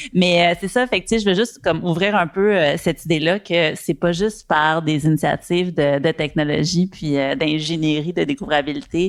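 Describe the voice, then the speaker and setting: Speaking at a moderate pace with hardly any pauses, a woman holds a fairly low pitch, ordinary pitch variation and very even loudness. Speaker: panelist. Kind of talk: panel discussion. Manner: hesitant, many fillers.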